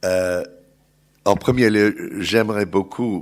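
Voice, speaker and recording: In a very clean recording with a silent background, a man's pitch variation is ordinary. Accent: English. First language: English (speaking French). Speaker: journalist and think-tank researcher. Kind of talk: panel talk. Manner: halting.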